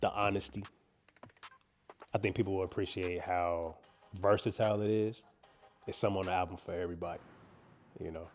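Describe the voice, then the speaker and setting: Over music in the background, a man with an American accent and a very deep, low pitch speaks at a very fast pace in a monotone, flat intonation, with long, frequent pauses. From Kansas City, Kansas. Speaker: rapper. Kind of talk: interview. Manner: laid-back; halting.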